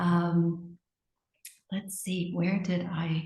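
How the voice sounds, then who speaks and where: With an American accent, a woman speaks in a somewhat breathy voice at a fairly low pitch. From United States. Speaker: marketing executive. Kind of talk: interview. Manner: hesitant, many fillers.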